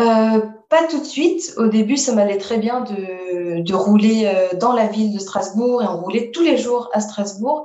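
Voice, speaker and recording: Audible room echo surrounds a woman's fairly high voice. She speaks very slowly, with lively intonation. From Paris region, France. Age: 20s. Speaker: roller skating traveler. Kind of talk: interview.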